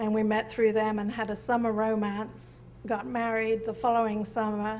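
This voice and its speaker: Amid audible room echo, a woman with a British accent and a fairly high pitch speaks at a moderate pace in a monotone, flat intonation. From England, Norfolk (East Anglia). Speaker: artist, photographer. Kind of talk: interview on stage. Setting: museum event with audience.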